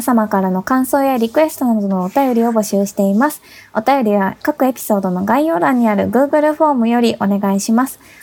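This woman uses an ordinary speaking voice with a fairly high pitch and ordinary pitch variation, moving at a fairly quick pace with hardly any pauses. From Tokyo, Japan. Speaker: podcast co-host. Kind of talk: casual chat; scripted announcement.

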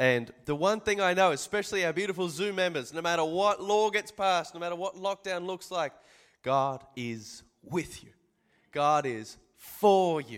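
Recorded very cleanly against a silent background, a man with a high pitch speaks at a moderate pace with lively intonation. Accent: Australian. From Australia. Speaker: pastor. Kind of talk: sermon.

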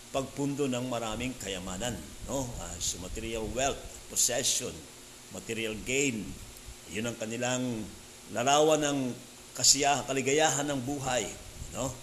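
A man speaking at a fairly slow pace with long, frequent pauses, plus audible room echo and noticeable background noise. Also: medium pitch for a man, ordinary pitch variation. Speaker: pastor. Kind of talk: sermon. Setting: church service.

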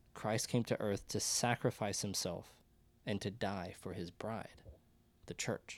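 On a very clean recording with a silent background, a man with an unremarkable speaking voice talks fairly slowly, with a fairly low pitch and fairly even intonation. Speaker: podcast host. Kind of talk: casual discussion of scripture.

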